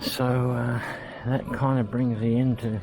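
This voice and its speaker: A man with an Australian accent, music in the background. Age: 60s. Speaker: vlogger. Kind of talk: casual vlog monologue. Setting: walking around a supermarket. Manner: halting.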